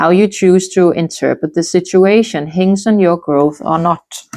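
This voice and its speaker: A woman with a non-native accent, fairly low in pitch, with ordinary pitch variation and a quiet background. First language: not English. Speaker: tarot reader. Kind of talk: tarot reading.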